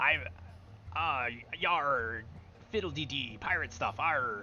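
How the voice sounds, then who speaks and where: Putting on a character voice, a man talks at a fairly slow pace and fairly high pitch over clear background noise. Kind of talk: pirate talk. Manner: mocking, playful.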